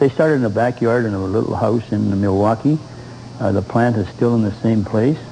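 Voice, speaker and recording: A man speaks fairly quickly at medium pitch, with ordinary pitch variation. There is noticeable background noise behind him. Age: 70s. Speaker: motorcycle enthusiast. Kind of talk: TV interview.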